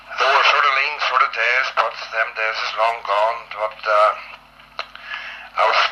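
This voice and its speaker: Moderate-paced speech from a man, with noticeable noise in the background. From Northern Ireland. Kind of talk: reminiscing oral history. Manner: casual, rambling.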